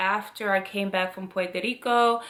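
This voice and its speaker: Noticeable background noise accompanies this woman. Her voice sits at a medium pitch with an animated tone. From Cameroon. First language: French. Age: 30s. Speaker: lifestyle vlogger. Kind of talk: vlog narration.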